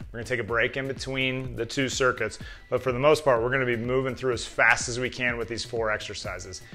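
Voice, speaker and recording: Faint music plays in the background. Over it, a man speaks at a very fast pace. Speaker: strength coach. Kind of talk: workout instruction. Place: gym.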